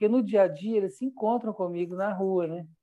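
This man's intonation stays fairly even as he talks at a fairly brisk pace. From Brazil, Minas Gerais (Belo Horizonte). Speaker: visual artist. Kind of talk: interview. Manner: halting.

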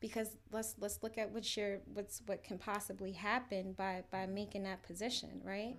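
With an American accent, a woman speaks at a moderate pace in a medium pitch, her intonation monotone and flat and her voice showing vocal fry. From New York City. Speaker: social entrepreneur. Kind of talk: podcast panel discussion.

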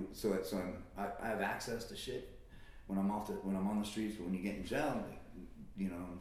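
A man's fairly quick, fairly even delivery with audible room echo. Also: fairly low pitch for a man. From Las Vegas, Nevada. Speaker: recovery advocate. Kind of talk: casual interview.

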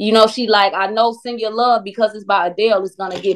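The speaker has a normal speaking voice with an American accent. Delivery is fairly quick, and the intonation stays fairly even. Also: woman. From Chicago, US Midwest. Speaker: singer and recording artist. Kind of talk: casual interview chat.

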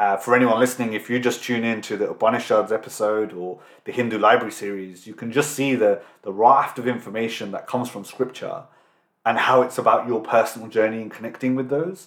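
A man with a British accent races along at a very fast pace in a medium pitch, his intonation fairly even but his loudness swinging widely. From England. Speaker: podcast host. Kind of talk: interview.

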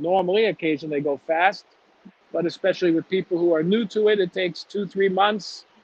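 A man with a high voice and a Chicago accent talks at a fairly quick pace with fairly even intonation. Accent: Chicago American English. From US Midwest, Chicago. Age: 50s. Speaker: recruitment entrepreneur. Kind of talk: interview conversation.

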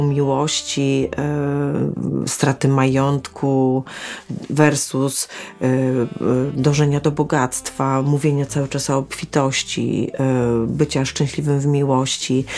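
The woman's voice is very deep and low in pitch. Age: 50s. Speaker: holistic therapist. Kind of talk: solo podcast monologue. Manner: hesitant, with fillers.

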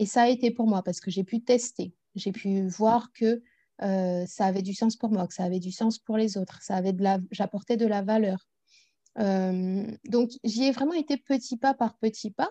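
A woman's somewhat breathy, fairly high voice with a dark, mellow tone, fairly slow pace and ordinary pitch variation, in a dry, close sound with no echo. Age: 30s. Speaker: personal development coach. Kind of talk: interview.

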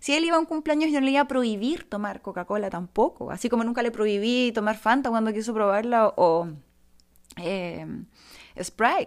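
A woman with a Chilean accent talks at a fairly quick pace in a fairly high pitch, her tone animated and her intonation lively, on a very clean recording with a silent background. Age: 30s. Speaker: podcaster. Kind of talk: casual monologue. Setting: home.

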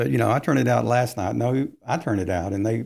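In a very clean recording with a silent background, a man speaks at medium pitch with vocal fry. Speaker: licensed counselor and author. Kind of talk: casual interview. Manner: uses hand gestures while talking.

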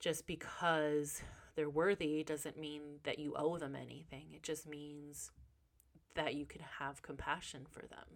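A woman talks at a fairly slow pace in a very deep, low pitch. Her intonation is monotone and flat. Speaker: podcast host and life coach. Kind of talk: casual monologue. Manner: casual, off the cuff.

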